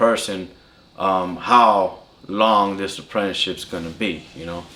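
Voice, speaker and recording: The speaker has a Californian accent and ordinary pitch variation. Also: man. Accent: Californian American English. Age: 30s. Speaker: apprentice lineman. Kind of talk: interview. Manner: casual.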